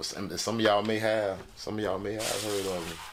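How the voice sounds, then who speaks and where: A man talks with a Southern Florida accent at a fairly low pitch. His pace is fairly quick, and audible room echo can be heard. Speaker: livestream host. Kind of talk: casual livestream chat. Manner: animated.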